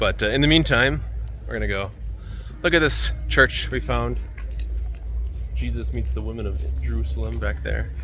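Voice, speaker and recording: A man with a very deep, low voice speaks with long, frequent pauses. The sound is dry with no echo, and music plays in the background. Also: ordinary pitch variation, moderate pace. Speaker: travel vlogger. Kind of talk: casual vlog chat. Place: street. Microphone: phone near.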